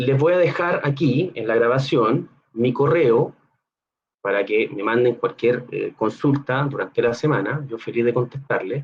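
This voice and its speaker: Somewhat breathy, a man with a Chilean accent speaks with ordinary pitch variation. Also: medium pitch for a man, fairly slow pace. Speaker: neuroscience researcher. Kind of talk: Q&A; educational talk to students.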